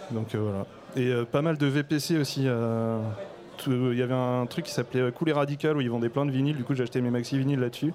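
Against noticeable background noise, a man speaks at a fairly quick pace in a medium-pitched voice, with very even loudness and fairly even intonation. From Brittany, Morlaix. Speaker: rapper. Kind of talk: panel discussion. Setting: stage with audience.

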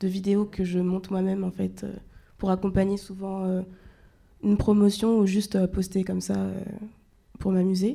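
A woman at a medium pitch speaks in a dark, mellow tone with flat, monotone intonation. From France, Orléans. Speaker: rapper. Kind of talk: interview.

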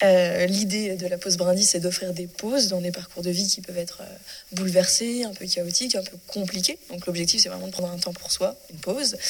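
Over noticeable background noise, a woman with a medium pitch talks at a fairly quick pace, her loudness swinging widely. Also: fairly even intonation. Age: 20s. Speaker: association coordinator. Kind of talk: interview.

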